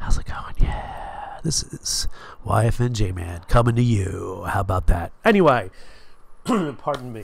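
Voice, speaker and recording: A man's loudness swings widely as he speaks at a fairly slow pace against noticeable background noise. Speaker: streamer, show host. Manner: casual, self-deprecating.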